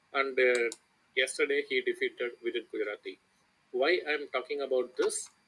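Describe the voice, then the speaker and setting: A man speaks with an Indian accent. He keeps a fairly quick pace. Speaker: chess coach. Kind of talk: lecture. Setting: online voice chat.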